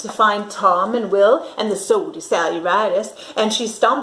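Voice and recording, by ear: The text is read aloud. A natural voice does the reading.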